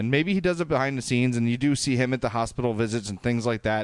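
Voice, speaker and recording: A man talks with a strong Chicago accent at medium pitch, with ordinary pitch variation. The background is quiet. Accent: thick Chicago. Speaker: podcast host. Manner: casual, conversational.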